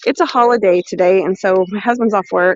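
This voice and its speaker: A woman with an American accent, lively in intonation, at a moderate pace, with a dry, close sound and no echo. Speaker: cooking and foraging livestreamer. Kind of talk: live stream chat. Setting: outdoors. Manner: loud; animated.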